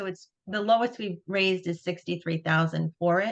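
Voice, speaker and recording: A woman with a Long Island accent speaks at a fairly low pitch. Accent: Long Island New York. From Long Island, New York. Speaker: nonprofit executive director. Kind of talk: webinar presentation. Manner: casual, many fillers and restarts.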